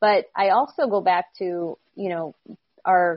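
A woman with an American accent speaks in a normal speaking voice at medium pitch, with ordinary pitch variation. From upstate New York. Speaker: sports sales executive. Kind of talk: interview.

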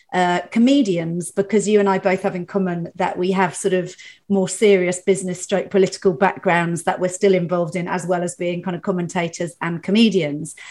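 Fairly quick and with hardly any pauses, a woman speaks at a medium pitch with fairly even intonation. Hers is an unremarkable speaking voice. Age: 50s. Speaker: podcast host and comedian. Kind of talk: casual chat.

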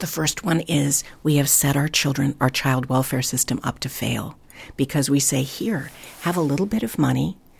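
At a moderate pace, a woman speaks with a very deep, low pitch and ordinary pitch variation. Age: 60s. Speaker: foster care village founder. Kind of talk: interview. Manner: hesitant fillers.

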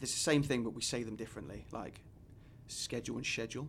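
A man talks with an English accent. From England. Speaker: college soccer coach. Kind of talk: casual chat.

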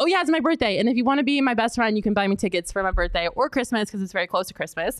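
The voice sounds animated, with very wide pitch swings and very even loudness at a very fast pace with hardly any pauses. The recording is very clean, with a silent background. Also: woman. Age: 20s. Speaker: sports podcast host. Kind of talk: casual sports talk.

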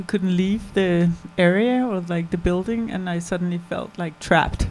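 A woman of medium pitch speaks at a moderate pace in a plain, everyday voice. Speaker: documentary filmmaker. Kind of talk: post-screening Q&A.

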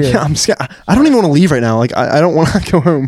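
Against noticeable background noise, a man talks at a very fast pace in a fairly high pitch. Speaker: podcast guest, YouTuber.

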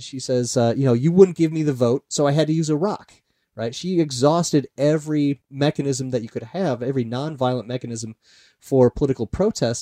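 A man with an American accent, dark and mellow in tone, at a fairly quick pace, in dry, close sound with no echo. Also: fairly high pitch for a man, ordinary pitch variation. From US Midwest, Iowa. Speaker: historian. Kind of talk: interview.

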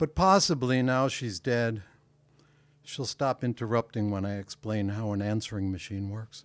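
In a very clean recording with a silent background and a dry, close sound with no echo, a man speaks at a medium pitch and moderate pace with ordinary pitch variation. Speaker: poet. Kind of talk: poetry reading. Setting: stage with audience. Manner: long-winded.

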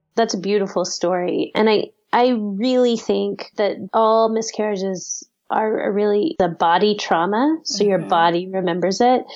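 With an American accent, an ordinary speaking voice proceeds at a moderate pace with ordinary pitch variation and very even loudness. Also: woman, medium pitch for a woman. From Texas, Austin. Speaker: priest and author. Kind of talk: interview.

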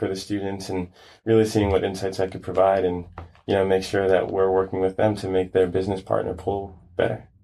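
With an American accent, a man of fairly low pitch speaks at a very fast pace in a monotone, flat intonation. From Brooklyn, New York. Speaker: startup founder. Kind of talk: casual interview.

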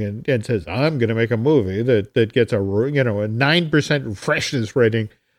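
Over a quiet background, a man talks at a moderate pace in an unremarkable speaking voice, medium in pitch with ordinary pitch variation. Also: hardly any pauses. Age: 60s. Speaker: entertainment writer and podcast host. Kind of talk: casual chat.

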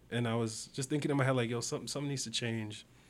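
A man with a Toronto accent speaks at medium pitch. His intonation stays fairly even. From Toronto, Canada (Scarborough). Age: 20s. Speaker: digital artist. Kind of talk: casual chat.

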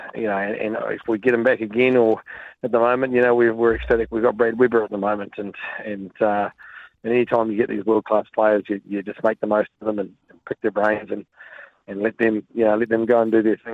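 Talking at a fairly quick pace, a man has a New Zealand accent and a medium pitch. His intonation stays flat and monotone. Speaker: rugby coach. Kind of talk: radio interview. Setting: phone call.

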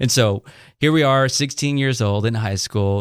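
An unremarkable speaking voice in an American accent, with ordinary pitch variation. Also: man. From Salinas, California, US. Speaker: pastor. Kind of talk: interview testimony.

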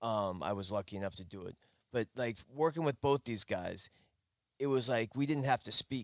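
A man with a plain, everyday voice at medium pitch, ordinary pitch variation and a moderate pace, in a dry, close sound with no echo. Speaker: fisherman. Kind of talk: casual chat.

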